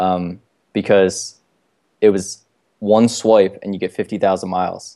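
Fairly low and dark, a mellow-toned man with an American accent speaks flatly in a monotone at a fairly slow pace, with long, frequent pauses. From US, Baltimore. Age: 20s. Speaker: entrepreneur and travel hacking author. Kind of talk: casual chat.

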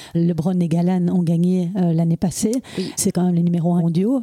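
Dry and close with no echo, a woman's voice sounds dark and mellow at a fairly low pitch. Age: 40s. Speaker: podcast host. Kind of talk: interview. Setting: at the guest's home.

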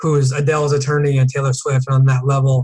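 A somewhat breathy man with an American accent, a fairly high pitch, a very fast pace and a monotone, flat intonation. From US Northeast, Connecticut. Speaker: entertainment attorney. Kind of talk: casual interview.

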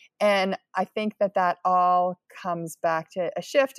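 Recorded very cleanly against a silent background, a woman with an American accent comes through with a dry, close sound and no echo. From Pennsylvania, US. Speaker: nonprofit leader. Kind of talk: interview.

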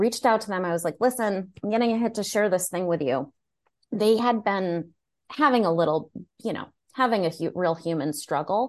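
With an American accent, a woman speaks fairly quickly at medium pitch with lively intonation in a normal speaking voice against a quiet background. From United States. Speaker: spiritual mentor. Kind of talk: casual chat.

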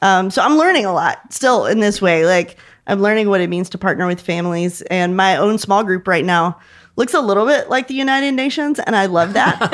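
A plain, everyday voice moves at a fairly quick pace with lively intonation on a very clean recording with a silent background. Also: woman, medium pitch for a woman. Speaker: youth ministry leader, former language teacher. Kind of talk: casual panel discussion.

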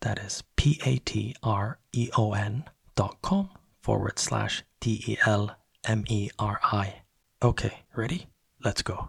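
Whispering at a very slow pace, a man stays soft-spoken. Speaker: podcast host. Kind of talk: podcast intro, scripted announcements. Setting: home, early morning. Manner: whispering, soft-spoken.

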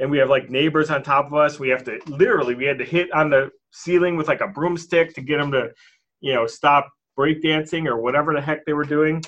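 An unremarkable speaking voice with an American accent, fairly quick pace and fairly even intonation. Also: man, fairly high pitch for a man. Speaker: real estate entrepreneur. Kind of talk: podcast interview.

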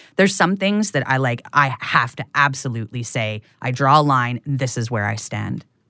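A woman with a very deep, low pitch and a bright, sharp tone speaks at a moderate pace with lively intonation and hardly any pauses. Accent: western Canadian. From Prince Rupert, coastal British Columbia, Canada. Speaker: podcast host and creator, interviewed as guest. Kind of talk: interview conversation. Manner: hesitant with many fillers and restarts.

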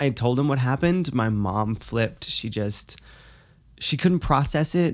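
A woman speaks with a very deep, low pitch. Her pace is fairly slow and her intonation lively. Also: very clean recording, silent background. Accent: American. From New Hampshire, US. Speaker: guest. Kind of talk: casual chat.

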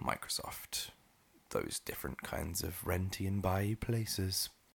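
A man speaks with a very deep, low pitch and a bright, sharp tone. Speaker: podcast host. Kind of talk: casual chat. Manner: chatty, laughs often.

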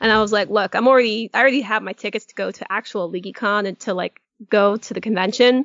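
Speaking very fast, a woman uses a fairly high pitch and fairly even intonation. Her loudness swings a lot. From New England, Connecticut. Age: 30s. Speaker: podcast co-host. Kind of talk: casual chat.

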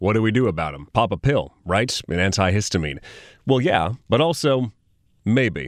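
With a Californian accent, a man speaks at a moderate pace and a fairly low pitch, his pitch swinging very widely on a very clean recording with a silent background. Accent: general American, Californian. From Sacramento, California. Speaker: podcast host. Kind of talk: casual explanatory interview. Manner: animated, conversational.

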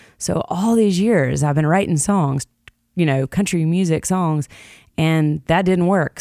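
A woman's fairly low, dark and mellow voice with lively intonation and a fairly slow pace, in a Southern US accent, with a dry, close sound and no echo. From Jackson, Tennessee. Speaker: singer-songwriter. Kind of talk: casual interview chat.

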